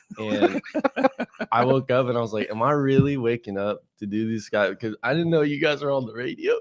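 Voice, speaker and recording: A man speaks in an American accent with medium pitch and ordinary pitch variation. His tone is animated and his pace fairly quick. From California, Tehachapi. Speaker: stand-up comedian. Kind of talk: casual chat. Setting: radio studio.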